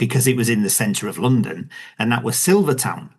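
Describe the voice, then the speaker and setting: Vocal fry in a man's medium-pitched voice. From Yorkshire, northern England. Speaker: novelist and former soldier. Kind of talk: podcast interview. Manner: halting, many fillers.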